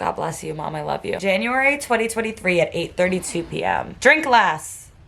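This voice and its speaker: Over noticeable background noise, a woman with an American accent speaks at a fairly quick pace. Her pitch swings very widely. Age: 20s. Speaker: student vlogger. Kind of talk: casual vlog monologue. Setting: childhood bedroom.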